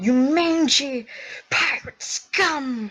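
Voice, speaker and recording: This is a put-on character voice. It sounds female and sits at a high pitch. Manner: yelling, insulting.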